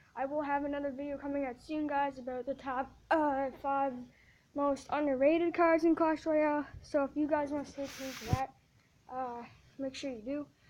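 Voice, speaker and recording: The delivery has a moderate pace and monotone, flat intonation. Noticeable background noise runs underneath. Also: woman, high pitch for a woman. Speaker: gaming youtuber. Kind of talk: casual video commentary. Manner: halting, many fillers and self-corrections.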